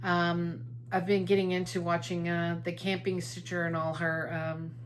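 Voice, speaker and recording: A woman with fairly low pitch and ordinary pitch variation at a moderate pace, with audible room echo. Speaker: cross-stitch video blogger. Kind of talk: casual chat. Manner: hesitant, many fillers.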